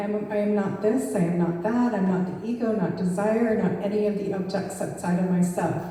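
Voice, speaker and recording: A woman at a moderate pace with fairly even intonation, audible room echo and noticeable background noise. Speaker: spiritual speaker. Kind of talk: sermon. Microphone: far from the mic.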